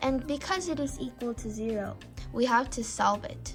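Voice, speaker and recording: Music plays in the background as the speaker goes at a moderate pace. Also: woman. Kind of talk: casual math tutorial talk. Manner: stuttering.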